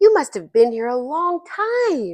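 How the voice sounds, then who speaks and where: Using a put-on character voice, a woman speaks at a fairly slow pace with high pitch and very wide pitch swings. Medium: read story.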